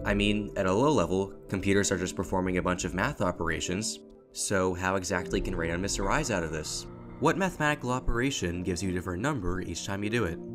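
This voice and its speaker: A man's very deep, low voice at a very fast pace with very wide pitch swings, music in the background. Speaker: educational video narrator. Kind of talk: educational voiceover narration.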